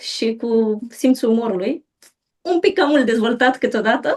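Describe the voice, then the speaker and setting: A woman talks at a fairly slow pace with a dark, mellow tone. Her pitch varies in an ordinary way. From Romania, Bucharest. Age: 30s. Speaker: mother sharing birth stories. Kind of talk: interview testimony.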